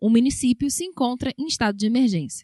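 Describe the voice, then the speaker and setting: Dry and close with no echo, a woman's high-pitched voice rushes along at a very fast pace. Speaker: radio news announcer. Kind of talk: radio news bulletin read.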